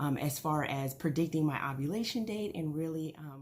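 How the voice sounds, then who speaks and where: Somewhat breathy and fairly slow, a woman's speech carries lively intonation. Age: 30s. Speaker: vlogger. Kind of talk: casual vlog. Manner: hesitant, many fillers.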